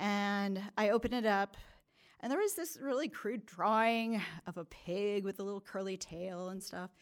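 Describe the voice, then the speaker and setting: With an American accent, a woman speaks at medium pitch and a moderate pace, with ordinary pitch variation. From California. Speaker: storyteller. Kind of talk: personal storytelling on stage. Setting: stage with audience. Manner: hesitant, many fillers.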